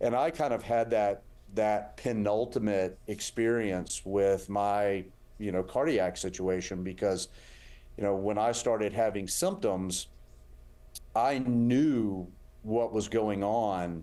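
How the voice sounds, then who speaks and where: Speaking very slowly in a Southern US accent, a man with a dark, mellow tone and fairly low pitch keeps very even loudness and ordinary pitch variation. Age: 50s. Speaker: heart surgeon. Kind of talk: interview.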